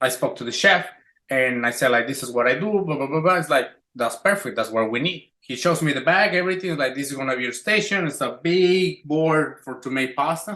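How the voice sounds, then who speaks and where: A man's fairly high voice with a Spanish accent, fairly quick, bright and sharp in tone, with lively intonation. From Mexico City. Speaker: chef. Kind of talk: casual chat.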